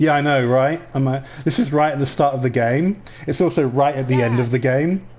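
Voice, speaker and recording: This man speaks with an English accent at a fairly quick pace and a fairly high pitch. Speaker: gaming video creator. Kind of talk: let's play commentary. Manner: casual, animated.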